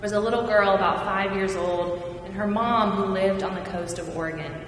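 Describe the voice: A woman's medium-pitched voice at a moderate pace, fairly even intonation and audible room echo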